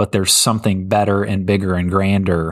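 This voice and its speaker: In a very clean recording with a silent background and a dry, close sound with no echo, a man speaks with monotone, flat intonation. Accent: American. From North Carolina. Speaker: pastor. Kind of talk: bible teaching; casual chat.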